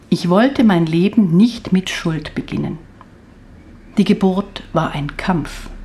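A woman at medium pitch with ordinary pitch variation, very slow pace and noticeable background noise. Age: 60s. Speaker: author. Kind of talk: reading aloud. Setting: studio.

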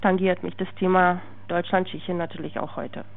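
This woman talks at a medium pitch in a Czech accent. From Czech Republic. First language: Czech (speaking German). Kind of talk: interview testimony.

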